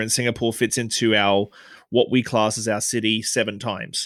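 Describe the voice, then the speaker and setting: In a very clean recording with a silent background, a man of medium pitch talks at a fairly quick pace. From Australia. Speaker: bartender and podcaster. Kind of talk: interview conversation. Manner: articulate.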